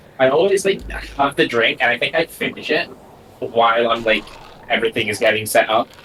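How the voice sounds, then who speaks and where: Amid noticeable background noise, a man talks at a fairly quick pace with lively intonation. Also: medium pitch for a man. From Scotland. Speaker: dungeon master. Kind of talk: casual chat.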